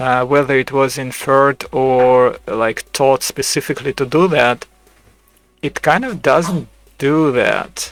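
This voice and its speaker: A man's fairly high pitch with a non-native accent, fairly slow and fairly even in intonation, with a dry, close sound with no echo and music in the background. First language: not English. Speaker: video creator sharing AI chats. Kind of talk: casual commentary. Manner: halting, many fillers and restarts.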